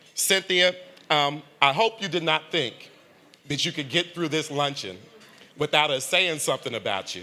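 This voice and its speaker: At a moderate pace, a man with a fairly high pitch speaks in a bright, sharp tone with vocal fry. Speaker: foundation leader and funder. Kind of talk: tribute speech at a luncheon.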